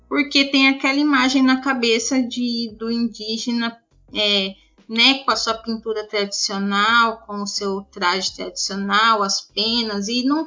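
Using a plain, everyday voice, a woman talks fairly slowly at a fairly high pitch with ordinary pitch variation. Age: 20s. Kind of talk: interview. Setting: Skype call.

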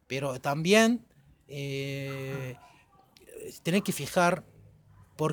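A man is speaking. His intonation is lively. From Egypt, Cairo. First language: Arabic (speaking Spanish). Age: 40s. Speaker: podcast guest. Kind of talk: casual chat.

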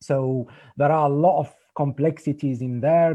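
A man with a fairly high pitch and a dark, mellow tone speaks with fairly even intonation. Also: quiet background. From Algeria. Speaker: activist and journalist. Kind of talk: presentation. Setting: video call.

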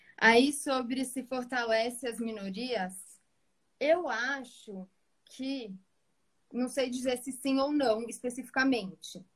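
Very slow and marked by long, frequent pauses, a woman's high voice holds fairly even intonation. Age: 20s. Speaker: pedagogue. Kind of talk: online live debate.

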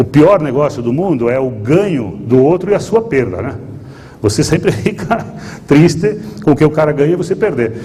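Over noticeable background noise and audible room echo, a man with a fairly high voice speaks at a moderate pace with very wide pitch swings. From Rio Grande do Sul, Brazil. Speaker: investor. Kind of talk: lecture. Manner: halting.

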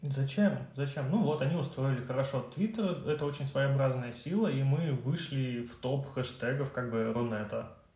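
Hardly any pauses break up this man's speech. His fairly high voice comes with audible room echo. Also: ordinary pitch variation, moderate pace. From Russia, Tyumen and Penza. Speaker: Twitter user. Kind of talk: casual chat.

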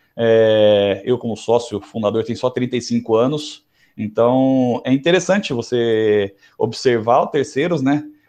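A man speaks here, his pitch sitting in the medium range. The rise and fall of it is ordinary. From Brazil, interior of São Paulo state. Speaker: lawyer. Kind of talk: casual interview.

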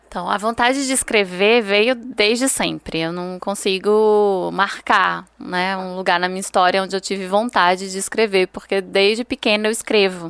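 Here a woman speaks at a moderate pace with a plain, everyday voice, a medium pitch and fairly even intonation. The recording is very clean, with a silent background. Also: hardly any pauses. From Brazil, Ceará (Juazeiro do Norte). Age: 30s. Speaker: historian and writer. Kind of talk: interview.

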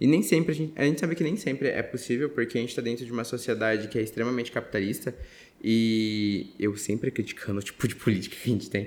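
Very fast speech comes from a man at a medium pitch. His pitch varies in an ordinary way. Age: 20s. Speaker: podcast host. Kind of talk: casual chat.

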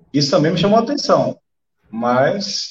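The speaker talks at a fairly slow pace. The pitch swings very widely. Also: man. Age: 40s. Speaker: special operations police officer and day trader. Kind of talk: podcast interview. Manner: halting, repeats words. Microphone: echo, volume dropping.

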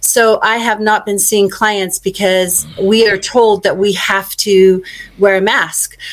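A woman speaks very slowly at a medium pitch, her intonation monotone and flat. Noticeable background noise runs underneath. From Australia. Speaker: acupuncturist. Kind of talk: call-in question.

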